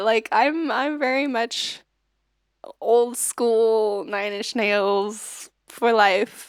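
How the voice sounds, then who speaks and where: The recording is dry and close with no echo. A woman speaks with ordinary pitch variation. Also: very clean recording, silent background. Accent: American. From US. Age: 30s. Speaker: singer-songwriter streamer. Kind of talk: casual livestream chat. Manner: many fillers, hesitant.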